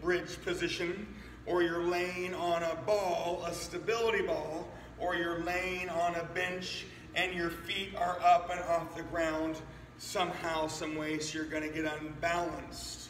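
Light background noise and audible room echo frame a man whose high-pitched voice stays monotone and flat. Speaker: fitness trainer. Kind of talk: workout tutorial. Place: gym. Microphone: camera far.

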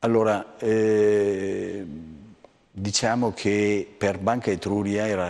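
A man is talking. His voice is pitched fairly low. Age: 60s. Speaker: bank executive; guest. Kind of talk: interview. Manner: halting. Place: studio.

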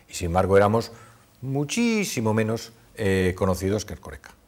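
A man speaks with a fairly low pitch. His loudness swings widely from moment to moment. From Cantabria, Spain (Torrelavega); Cantabria, Spain. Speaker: businessman, supermarket chain executive; interviewee. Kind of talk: interview. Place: studio. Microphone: lapel.

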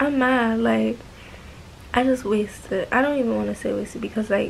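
Light background noise accompanies a woman speaking at a moderate pace. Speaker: vlogger. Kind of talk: casual vlog chat. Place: home room. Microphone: phone near.

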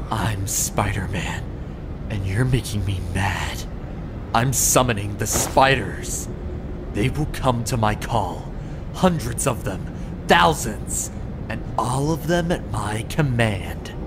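A man uses a cartoonish character voice at a medium pitch, speaking fairly slowly over loud background noise. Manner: slow, ominous.

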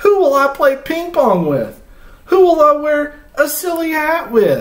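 Audible room echo surrounds a man's put-on character voice, pitched extremely high with big pitch swings at a fairly slow pace.

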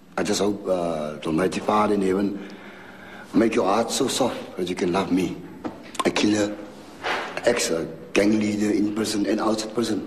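A man with a fairly low pitch speaks at a moderate pace with fairly even intonation and long, frequent pauses, over light background noise. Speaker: prison gang leader. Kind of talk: testimony; emotional personal address. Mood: remorseful, pleading. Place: home room.

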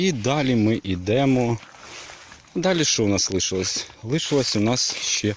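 Over light background noise, a man speaks at a medium pitch and a fairly slow pace, with long, frequent pauses and very even loudness, and the sound is dry with no echo. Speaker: village life vlogger and gardener. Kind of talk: narrated walking tour of a vegetable garden. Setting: outdoors in a garden. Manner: casual, chatty with hesitations. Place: garden. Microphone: phone near.

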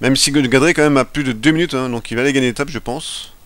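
This man talks very fast. His pace hardly lets up. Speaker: gaming video creator. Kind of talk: let's play commentary. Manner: halting, stumbling over words; casual, animated.

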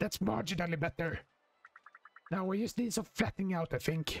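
A put-on character voice at a middle pitch moves at a fairly quick pace. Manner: comically strained, improving as it goes.

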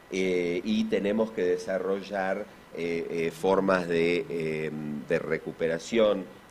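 A very slow-speaking man with an Argentine accent, over light background noise. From Argentina. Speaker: physician and symposium speaker; speaker. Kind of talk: conference talk. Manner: halting, many fillers. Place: hall. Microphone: podium.

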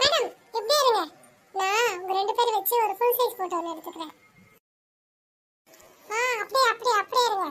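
This cartoonish character voice is pitched extremely high. The pace is moderate. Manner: eager, repetitive.

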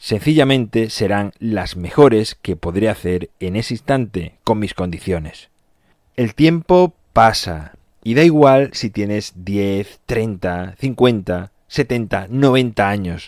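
Speaking very slowly, a man with a fairly low pitch uses lively intonation, and the sound is dry and close with no echo. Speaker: podcast host. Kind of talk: motivational monologue. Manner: energetic.

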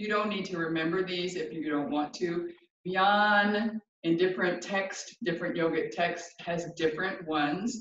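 A woman's fairly low voice at a moderate pace, with audible room echo. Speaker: yoga teacher. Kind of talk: class instruction. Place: home room. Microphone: camera far.

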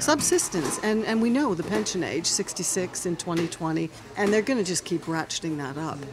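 With noticeable background noise, a woman speaks at a moderate pace in a fairly low voice whose pitch swings very widely. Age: 60s. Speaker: podcast host. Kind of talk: interview. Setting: restaurant. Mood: earnest, concerned. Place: cafe. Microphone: studio mic.

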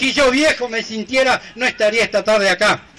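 A man uses a raised, projected voice with ordinary pitch variation against light background noise. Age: old. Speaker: folk improvising poet. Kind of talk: improvised verse duel. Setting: outdoors. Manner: measured rhymed verse. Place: stage.

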